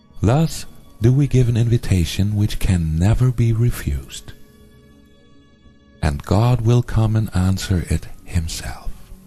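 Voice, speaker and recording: A man speaks at a fairly slow pace with a fairly low pitch and lively intonation, his loudness very even throughout. Long pauses come often, and music plays in the background. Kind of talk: spiritual text reading.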